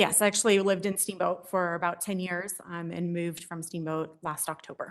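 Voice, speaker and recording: Fairly quick and flat in intonation, a woman speaks in a monotone at a fairly low pitch. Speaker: emergency physician, expert witness. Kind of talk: court testimony. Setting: courtroom. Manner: fast; quiet.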